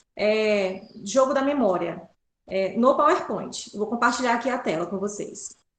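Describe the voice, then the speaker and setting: Very wide pitch swings from a woman at a moderate pace, with audible room echo. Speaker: pedagogy student workshop presenter. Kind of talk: tutorial.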